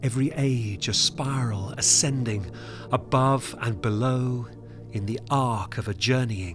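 Music plays behind a man speaking at a fairly slow pace. His pitch is medium, with ordinary variation. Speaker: performance poet. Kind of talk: poetic film trailer narration.

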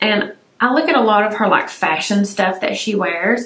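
Through audible room echo, a woman speaks at a fairly slow pace in a relaxed tone with ordinary pitch variation. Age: 40s. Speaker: beauty YouTuber. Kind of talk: casual vlog-style product review. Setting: home filming room. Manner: relaxed, chatty. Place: home room.

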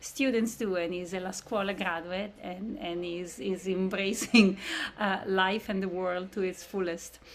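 Fairly slow, fairly even intonation over light background noise. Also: woman. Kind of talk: presentation to prospective parents. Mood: warm, slightly emotional. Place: home room.

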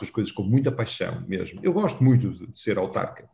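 Light background noise sits under a man's somewhat breathy voice. He keeps a moderate pace. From Portugal, Valongo (Porto area). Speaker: mayor. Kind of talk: interview. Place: office. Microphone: video call.

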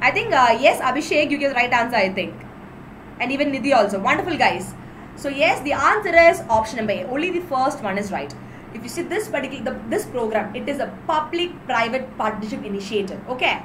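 Over light background noise, a woman with a South Indian accent talks at a very fast pace in a high pitch with lively intonation. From Kerala, India. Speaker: exam-prep teacher. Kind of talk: live online lecture. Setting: live video stream. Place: home room. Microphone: webcam.

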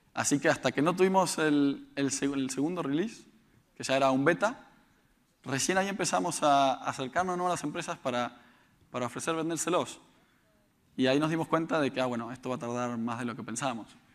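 A man talks in an ordinary speaking voice, at a fairly high pitch and a fairly quick pace, with ordinary pitch variation. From Argentina, Buenos Aires. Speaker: startup founder; conference speaker. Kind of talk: conference talk. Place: stage. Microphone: lapel.

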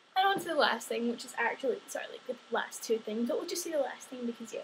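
A woman with a Scottish accent at a very fast pace, over light background noise. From Scotland. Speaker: vlogger. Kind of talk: casual vlog monologue. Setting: home video recording. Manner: animated. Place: home room. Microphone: webcam.

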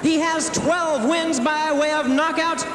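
A man at a very slow pace amid noticeable background noise. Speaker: ring announcer. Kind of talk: boxing ring announcement. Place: stadium. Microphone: handheld.

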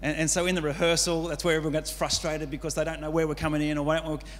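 Fast speech from a man, fairly high for a man, with little pitch movement.

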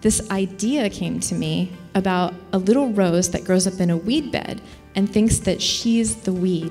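A woman talks at a fairly slow pace with an American accent and ordinary pitch variation. Faint music plays in the background. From US small town. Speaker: keynote speaker. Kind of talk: keynote speech mixed with interview. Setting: conference stage with audience. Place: hall. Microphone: handheld.

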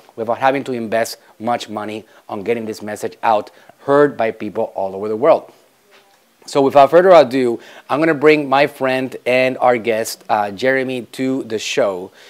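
At a moderate pace, a man talks, his pitch varying in an ordinary way. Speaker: show host. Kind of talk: interview host talk. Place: studio. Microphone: lapel.

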